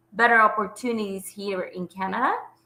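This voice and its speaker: With a Spanish accent, a woman speaks at a fairly high pitch in a bright, sharp tone and fairly even intonation. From Bolivia, Santa Cruz. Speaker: health coach. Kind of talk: interview. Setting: video call. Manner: hesitant.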